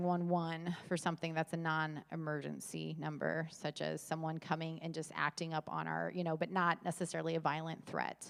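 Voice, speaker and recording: A woman's fairly low-pitched voice. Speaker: church safety trainer. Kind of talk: training talk. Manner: fast.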